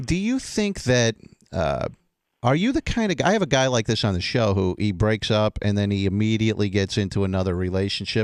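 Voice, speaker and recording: A man with an American accent speaks at a fairly quick pace in a fairly low voice, his loudness very even, in a very clean recording with a silent background. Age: 50s. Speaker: radio host. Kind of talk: casual interview.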